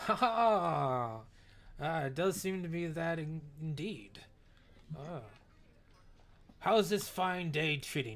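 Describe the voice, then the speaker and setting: A man performs a put-on character voice at a fairly high pitch, with lively intonation. He moves at a fairly slow pace, broken by long, frequent pauses. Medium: actual play. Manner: hearty, boastful.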